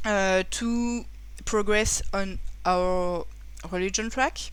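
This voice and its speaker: With a French accent, a woman speaks amid audible room echo. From France. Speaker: board game reviewer. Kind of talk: game review. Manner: halting.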